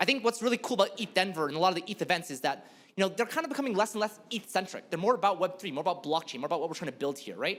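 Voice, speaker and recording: A man's high-pitched voice at a very fast pace, with lively intonation over noticeable background noise. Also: hardly any pauses. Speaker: blockchain developer speaker. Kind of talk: conference talk.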